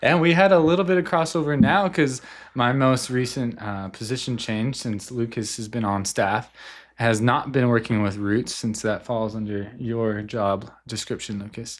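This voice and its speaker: Lively intonation comes through at a moderate pace on a very clean recording with a silent background. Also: man, medium pitch for a man. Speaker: youth pastor. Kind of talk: casual chat. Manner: loud.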